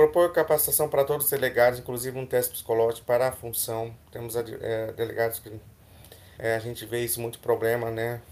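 A man's ordinary speaking voice at medium pitch, with fairly even intonation, a moderate pace, and big swings in loudness. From Mato Grosso, Brazil. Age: 30s. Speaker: medical student, student union candidate. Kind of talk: casual chat; reading proposals aloud.

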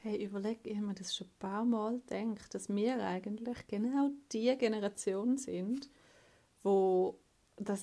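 With a Swiss accent, a woman speaks fairly slowly in a fairly high pitch and a dark, mellow tone. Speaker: office worker recording voice messages. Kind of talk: casual voice message. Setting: home office desk. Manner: monotone.

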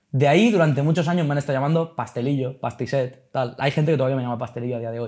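This man talks with lively intonation. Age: 20s. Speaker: rapper and esports club CEO. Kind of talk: casual interview chat.

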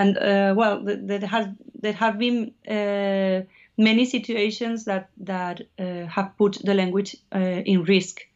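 Her intonation fairly even, a woman speaks at a medium pitch with a Spanish accent. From Basque Country, Spain (Navarre). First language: Spanish or Basque. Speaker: musician. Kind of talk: interview. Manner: halting.

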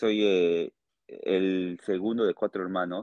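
In a dry, close recording with no echo, a man with a very deep, low voice and a Peruvian accent speaks with fairly even intonation. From Peru, Tarapoto (Amazon region). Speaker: musician. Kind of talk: interview.

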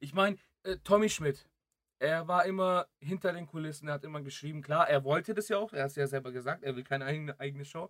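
In a dry, close sound with no echo, a man speaks very fast with a fairly high pitch and ordinary pitch variation. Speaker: podcast co-host. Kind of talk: casual chat. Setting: late-night recording. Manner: soft, keeping quiet late at night.

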